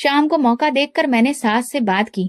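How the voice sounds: This woman's voice is high-pitched with ordinary pitch variation. She talks at a moderate pace in a dry, close sound with no echo.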